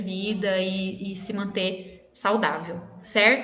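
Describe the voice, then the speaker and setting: The voice is a woman's. Audible room echo surrounds it. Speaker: dentist. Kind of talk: live stream Q&A talk. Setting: live video stream.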